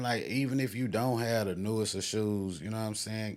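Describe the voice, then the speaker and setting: A man with an American accent talks at a moderate pace and medium pitch, his intonation fairly even. The recording is very clean with a silent background. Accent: sounds country. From Houston, Texas. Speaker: podcast host. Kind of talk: casual chat. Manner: laid-back, relaxed.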